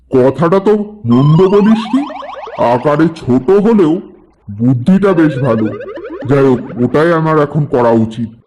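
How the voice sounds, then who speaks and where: At a fairly slow pace, a man does a cartoonish character voice at a fairly high pitch. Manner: gruff, talks down to others.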